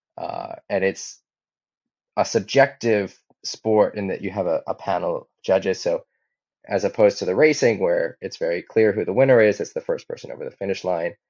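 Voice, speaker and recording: In a Hawaiian accent, a man talks at a moderate pace. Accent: American (Hawaii). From Hawaii, Maui. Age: 30s. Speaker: professional windsurfer. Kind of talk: interview. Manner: halting, frequent repetitions.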